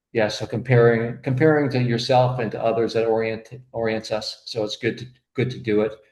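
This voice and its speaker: A man with a medium pitch speaks in a somewhat breathy voice with monotone, flat intonation. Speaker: accountant and bookkeeper presenting to optometrists. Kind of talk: webinar presentation. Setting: online webinar. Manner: fast; halting, many fillers.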